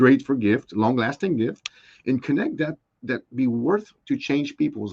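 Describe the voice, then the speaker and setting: A man with a non-native accent speaks fairly slowly, the sound dry and close with no echo. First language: not English. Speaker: small business owner. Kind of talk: interview. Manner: halting.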